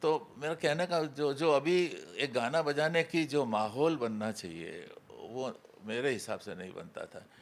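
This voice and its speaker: A man with vocal fry talks at a fairly high pitch, his intonation lively and his loudness swinging widely. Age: 90s. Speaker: classical musician and interviewer. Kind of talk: interview conversation. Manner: halting.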